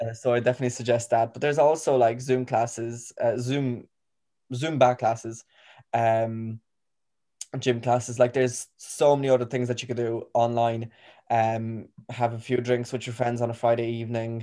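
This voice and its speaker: With an Irish accent, a man of medium pitch speaks at a moderate pace in a dark, mellow tone with monotone, flat intonation. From Poland, schooled in Ireland. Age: young. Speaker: student and youth volunteer. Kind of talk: casual interview chat. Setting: online recording.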